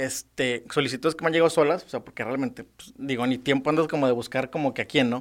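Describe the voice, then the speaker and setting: A man speaks at a very fast pace with a Mexican accent. The recording is very clean, its background silent. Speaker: public servant. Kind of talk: casual interview chat.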